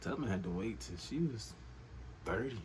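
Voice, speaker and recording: Vocal fry runs through this man's voice, with audible room echo around it. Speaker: comedian. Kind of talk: comedic monologue. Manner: animated; whispering.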